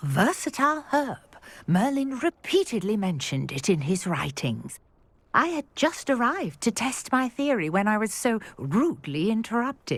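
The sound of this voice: Using a put-on character voice, a woman speaks at a fairly high pitch with big pitch swings. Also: fairly slow pace.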